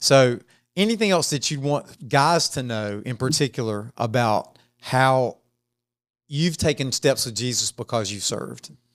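On a very clean recording with a silent background, a man has an ordinary speaking voice, medium pitch, ordinary pitch variation and a fairly slow pace. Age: 50s. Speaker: church podcast host. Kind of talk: casual interview chat.

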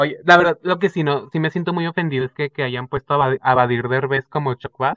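In a plain, everyday voice, a man speaks at a fairly quick pace with hardly any pauses. His pitch is fairly high, with ordinary pitch variation. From Zapopan, Guadalajara, Jalisco, Mexico. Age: 20s. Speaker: podcast co-host, marketing student. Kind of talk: casual chat.

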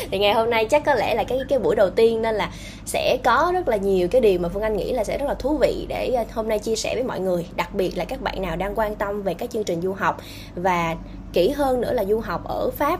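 Very fast speech from a woman at a fairly high pitch, with music in the background. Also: lively intonation. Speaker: podcast host on career guidance. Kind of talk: casual interview. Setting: remote call.

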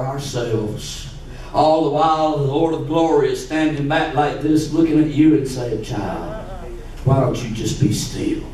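A man's animated, fairly high-pitched voice at a fairly slow pace, over noticeable background noise. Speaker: pastor. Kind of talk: sermon; fervent preaching in full flow, rallying the congregation. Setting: church. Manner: animated, call-and-response preaching; rising, emphatic, urgent delivery with repeated phrases.

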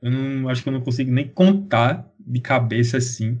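A man's somewhat breathy, dark and mellow voice at a medium pitch and moderate pace. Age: 20s. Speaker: sports podcast co-host. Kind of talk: casual chat.

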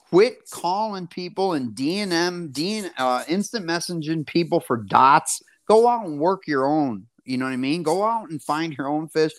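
A man speaks at a moderate pace in a fairly high pitch, animated in tone with lively intonation. The recording is very clean, the background silent. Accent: American. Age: 40s. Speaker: professional bass angler. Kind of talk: casual interview chat.

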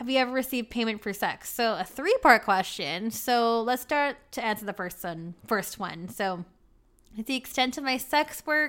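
A woman with a normal speaking voice talks at a moderate pace and a fairly high pitch with lively intonation in a very clean recording with a silent background. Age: 30s. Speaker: podcast host. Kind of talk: casual monologue, Q&A. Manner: laughs often.

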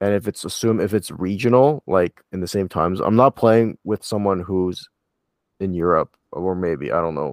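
An ordinary speaking voice with ordinary pitch variation sounds dry and close with no echo, on a very clean recording with a silent background. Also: man, fairly low pitch for a man, moderate pace. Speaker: podcast host. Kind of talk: casual podcast chat. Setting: recording from Toronto.

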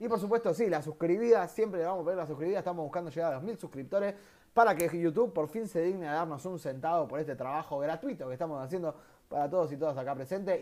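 A man's very fast, lively voice, fairly high in pitch with a dark, mellow tone, in a very clean recording with a silent background. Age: 30s. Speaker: podcast host. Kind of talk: casual chat.

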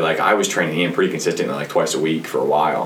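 A man speaks over noticeable background noise. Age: 20s. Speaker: gym manager and personal trainer. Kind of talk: casual chat.

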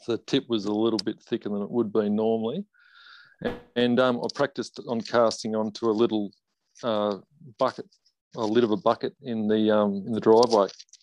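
Speaking at a fairly quick pace with an Australian accent, this voice has fairly even intonation and long, frequent pauses, recorded dry and close with no echo against a quiet background. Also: man, medium pitch for a man. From northwest Tasmania, Australia. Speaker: competitive fly fisherman. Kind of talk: casual interview. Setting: video call.

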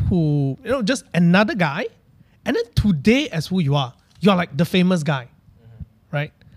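In a Malaysian accent, a man speaks at a high pitch with very wide pitch swings. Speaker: podcast host. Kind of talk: casual chat.

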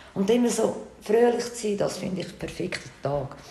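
Noticeable background noise and audible room echo surround the recording. A woman speaks with a fairly high pitch and ordinary pitch variation. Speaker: podcast host. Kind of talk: casual interview chat. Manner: animated.

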